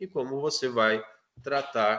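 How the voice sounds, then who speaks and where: This man has a normal speaking voice at medium pitch. He speaks at a fairly slow pace. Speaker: physiotherapy student presenting. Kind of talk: class presentation.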